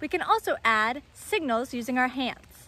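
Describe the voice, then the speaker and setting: A woman's raised, projected voice with very wide pitch swings and a dry sound with no echo. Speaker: naturalist educator. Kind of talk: educational talk to kids. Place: rain. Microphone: phone near.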